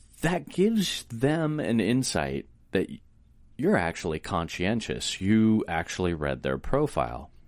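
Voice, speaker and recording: A man talks in a fairly low pitch. His voice makes very wide pitch swings. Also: fairly slow pace. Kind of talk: casual chat, informational.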